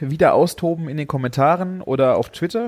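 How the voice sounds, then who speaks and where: A man's high-pitched voice with a dry, close sound and no echo. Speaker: podcast host and food blogger. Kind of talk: casual chat. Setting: video call.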